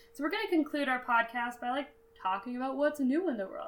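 Noticeable background noise is present throughout. The talking proceeds at a fairly quick pace. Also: woman. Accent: American. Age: 20s. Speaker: podcast co-host. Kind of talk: casual educational chat.

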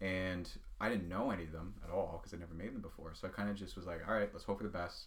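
With a Nova Scotian accent, a man speaks at a very fast pace in a very deep, low pitch, somewhat breathy and with fairly even intonation. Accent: Nova Scotian Canadian English. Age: 20s. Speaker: pen maker and small business owner. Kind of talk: casual interview chat. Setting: podcast recording.

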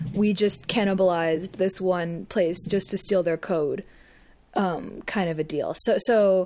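A woman's medium-pitched voice with a dark, mellow tone, fairly even intonation and a fairly slow pace, in a very clean recording with a silent background. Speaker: podcast co-host. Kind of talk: casual banter, joking chat.

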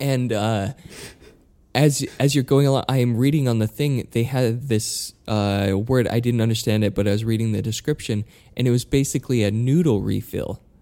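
A man speaks with a dark, mellow tone. His pace is moderate and his intonation fairly even. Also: medium pitch for a man, very even loudness. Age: 20s. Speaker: podcast co-host. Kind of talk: casual chat.

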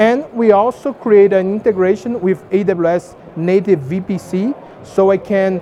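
Against noticeable background noise, the speaker talks at a very slow pace. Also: man. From Brazil. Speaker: tech company engineer presenting at conference. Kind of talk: conference talk with demo.

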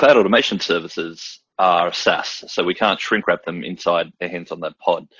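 Here a man speaks with an Australian accent. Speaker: systems engineer. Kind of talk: product demo webinar.

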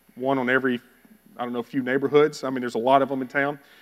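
A man with a Texan accent talks in a fairly high pitch. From Texas (Bowie). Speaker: missionary. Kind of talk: sermon.

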